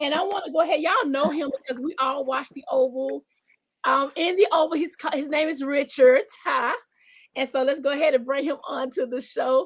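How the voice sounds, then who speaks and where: With a Southern US accent, a woman speaks at a fairly quick pace. Her pitch is high, with ordinary pitch variation. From US South. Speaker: talk show host. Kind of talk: interview. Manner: animated.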